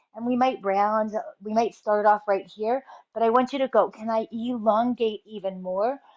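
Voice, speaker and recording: Against a quiet background, a woman with an unremarkable speaking voice talks at a moderate pace and a fairly high pitch with ordinary pitch variation, the sound dry and close with no echo. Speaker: fitness and posture instructor. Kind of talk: exercise tutorial.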